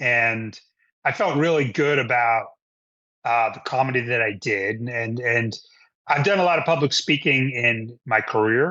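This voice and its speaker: Speaking at a moderate pace, a man with an American accent has an unremarkable speaking voice, a medium pitch and ordinary pitch variation. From Rhode Island, US. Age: 50s. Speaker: stand-up comedian. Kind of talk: casual interview chat. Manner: frequent fillers and repetitions.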